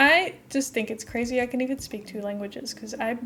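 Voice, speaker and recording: Against noticeable background noise, a woman speaks at a fairly quick pace with high pitch and ordinary pitch variation. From Netherlands. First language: Dutch. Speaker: streamer. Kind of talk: casual gameplay live stream chat. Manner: chatty, rambling with fillers.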